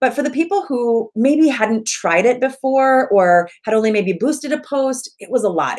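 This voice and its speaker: A woman talks with lively intonation. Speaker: Facebook ads coach. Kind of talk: online workshop training video. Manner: fast.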